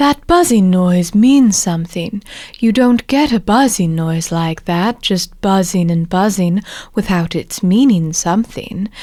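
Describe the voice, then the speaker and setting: Putting on a growling character voice, a woman speaks at a medium pitch and a fairly slow pace. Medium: read story. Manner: slow, thoughtful.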